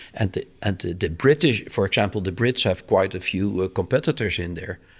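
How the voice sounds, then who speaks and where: With a Dutch accent, the speaker talks at a fairly quick pace with ordinary pitch variation in a very clean recording with a silent background. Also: man, very deep, low pitch for a man. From Netherlands. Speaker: offshore sailor. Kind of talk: interview. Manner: halting.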